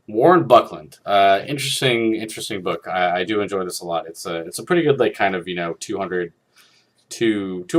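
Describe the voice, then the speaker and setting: Quiet, fairly quick speech from a man with a fairly low pitch and lively intonation. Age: 30s. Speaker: film critic video host. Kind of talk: casual monologue. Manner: quiet, low; halting, many fillers.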